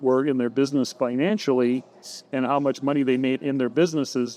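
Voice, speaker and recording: A man's fairly high pitch paired with a dark, mellow tone. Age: 60s. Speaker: entrepreneur and coach. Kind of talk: interview.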